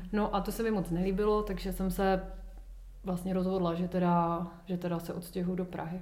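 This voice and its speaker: A woman's monotone, flat delivery, with audible room echo and noticeable background noise. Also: medium pitch for a woman, moderate pace. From Ostrava, Czech Republic. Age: 30s. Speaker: yoga teacher. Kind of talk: casual interview.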